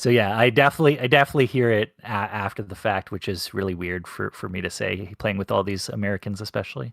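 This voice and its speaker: Hardly pausing at all, this voice races along at a very fast pace with ordinary pitch variation in a dry, close sound with no echo. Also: man, fairly low pitch for a man. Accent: slight Canadian. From Canada, Ontario near Hamilton. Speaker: competitive gamer. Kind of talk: post-match interview. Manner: halting, many restarts.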